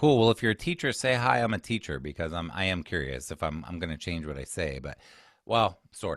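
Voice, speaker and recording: In a very deep, low voice with vocal fry, a man talks at a fairly quick pace, his pitch swinging very widely and his loudness rising and falling sharply. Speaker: executive function coach and former teacher. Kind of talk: webinar presentation. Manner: fast.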